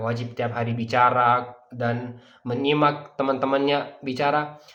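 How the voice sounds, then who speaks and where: A man with a Persian accent speaks amid audible room echo. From Dubai, UAE (grew up there). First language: Persian (speaking Indonesian). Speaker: language teacher. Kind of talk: sales pitch. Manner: filler-laden, hesitant.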